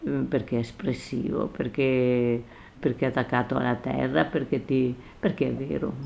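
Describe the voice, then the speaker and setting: A woman talks at a moderate pace, her loudness staying very even throughout. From Veneto, Orsago (Treviso area). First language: Venetian dialect (speaking Italian). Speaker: retired schoolteacher and author. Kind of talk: interview. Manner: halting.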